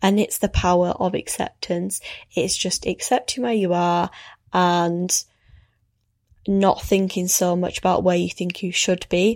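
On a very clean recording with a silent background, a woman with an unremarkable speaking voice talks at a fairly slow pace, at medium pitch and with fairly even intonation. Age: 20s. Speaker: podcast host. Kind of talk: casual chat.

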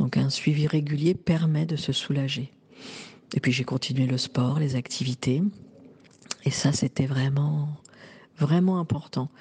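The voice is somewhat breathy with a dark, mellow tone and fairly even intonation. It moves at a fairly slow pace with long, frequent pauses. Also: woman, very deep, low pitch for a woman. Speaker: woman giving a menopause testimony. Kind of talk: testimony. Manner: halting.

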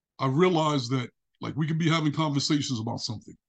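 A man with a New York accent talks very fast in a fairly high voice with ordinary pitch variation. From Brooklyn, New York. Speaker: relationship coach. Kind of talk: interview conversation.

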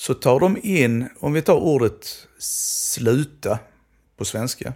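Very wide pitch swings run through this man's speech. The recording is very clean with a silent background. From southern Sweden, Skåne. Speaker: Romani language researcher. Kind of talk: educational conversation.

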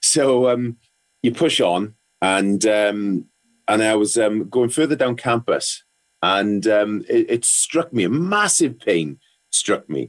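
A man with a Welsh accent speaks at a very slow pace and a medium pitch. His intonation is lively while his loudness stays very even. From Wales, South Wales valleys. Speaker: ex rugby player, psychotherapist. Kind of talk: casual interview. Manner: halting, many fillers and repetitions.

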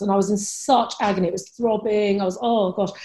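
On a very clean recording with a silent background, a woman speaks at medium pitch in a dark, mellow, somewhat breathy tone with fairly even intonation. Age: 40s. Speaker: Chinese medicine practitioner. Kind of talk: interview.

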